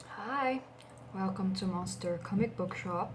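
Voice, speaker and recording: A woman's fairly low voice at a fairly slow pace, with very wide pitch swings over noticeable background noise. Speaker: comic book shop clerk (roleplay). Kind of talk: ASMR roleplay, soft-spoken personal attention. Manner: soft-spoken, gentle.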